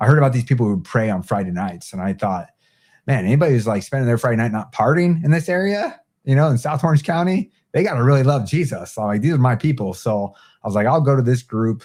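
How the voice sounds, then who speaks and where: Over a very clean recording with a silent background, a man talks very fast with lively intonation and a dark, mellow tone. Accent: American. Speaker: Marine veteran. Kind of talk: casual interview chat. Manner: casual, filler-heavy.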